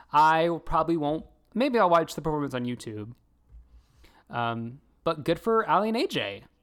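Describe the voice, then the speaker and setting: A man with an American accent, a fairly high pitch, very wide pitch swings, a moderate pace and long, frequent pauses. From US South. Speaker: podcast co-host. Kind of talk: casual chat. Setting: video call.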